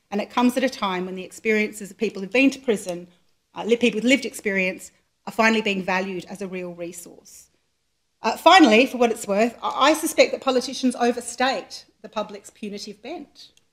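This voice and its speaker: With an Australian accent, a woman speaks at a fairly quick pace in a fairly high pitch, using ordinary pitch variation. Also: big swings in loudness. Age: 40s. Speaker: charity chief executive, lawyer. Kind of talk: public lecture. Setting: lecture hall with live audience.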